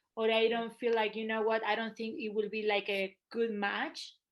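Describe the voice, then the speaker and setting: A woman speaks at a fairly quick pace in a Spanish accent. Her pitch sits fairly high. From Argentina. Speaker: photographer. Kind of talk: casual interview.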